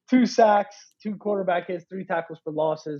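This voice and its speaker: An unremarkable speaking voice from a man with an American accent, moderate pace and ordinary pitch variation. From Maryland. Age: 20s. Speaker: sports podcast host. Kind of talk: casual chat.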